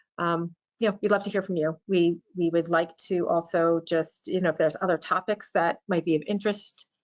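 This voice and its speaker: A woman speaks in a fairly low pitch with monotone, flat intonation. Her loudness stays very even, with hardly any pauses. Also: fairly quick pace. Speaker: payroll compliance specialist. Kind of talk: webinar presentation. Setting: live webinar.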